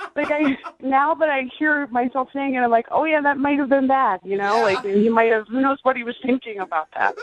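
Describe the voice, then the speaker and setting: The speech moves at a fairly quick pace, with a dry, close sound with no echo and noticeable background noise behind it. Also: woman, high pitch for a woman, ordinary pitch variation. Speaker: date guest calling in to the radio show. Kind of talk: casual talk in radio interview.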